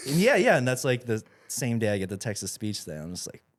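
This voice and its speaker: In a normal speaking voice, the speaker talks at a fairly quick pace with lively intonation and big swings in loudness. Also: man, medium pitch for a man. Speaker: video channel creator. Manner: conversational, self-deprecating.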